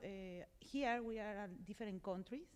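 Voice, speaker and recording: A woman speaks with a Colombian accent. Her pitch variation is ordinary. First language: Spanish. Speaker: digital marketing professional on a panel. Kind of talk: panel discussion. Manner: halting, searching for words.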